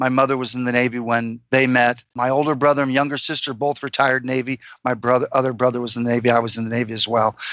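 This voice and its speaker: At a very fast pace, a man talks at medium pitch with monotone, flat intonation. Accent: American. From Florida, US. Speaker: freedom consultant. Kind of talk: interview. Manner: halting, many fillers.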